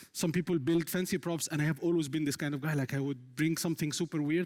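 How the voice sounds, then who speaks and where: Speaking very fast with an Arabic accent, a man uses a fairly high pitch and fairly even intonation. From Egypt, Cairo. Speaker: software engineer. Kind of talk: conference talk. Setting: stage with audience.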